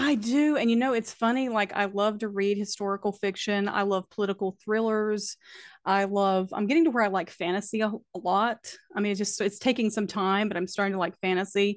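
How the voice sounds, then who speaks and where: A woman with an Appalachian accent speaks at a fairly quick pace and medium pitch. Her intonation is fairly even, and the background is quiet. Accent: Appalachian Southern US. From US South, Appalachian North Carolina. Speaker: author, poet and podcaster. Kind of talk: casual interview chat. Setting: remote call.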